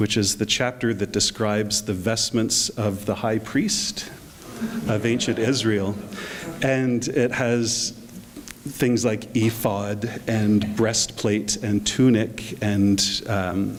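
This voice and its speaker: A man's fairly low voice in a Canadian accent, very slow, with fairly even intonation and very even loudness over noticeable background noise. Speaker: bishop. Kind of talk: short address to a gathering. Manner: hesitant, many fillers.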